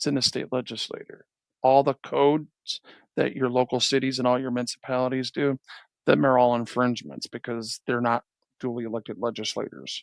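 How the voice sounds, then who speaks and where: A man talks at a fairly quick pace with a medium pitch and fairly even intonation. The sound is dry and close with no echo, on a very clean recording over a silent background. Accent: American. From Detroit, Michigan. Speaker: YouTube reaction commentator. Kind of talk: live stream reaction commentary. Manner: casual, halting with repetitions.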